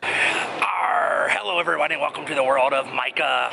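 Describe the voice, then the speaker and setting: A man performs a put-on character voice at a moderate pace. Clear background noise runs under the recording. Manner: cheerful, welcoming.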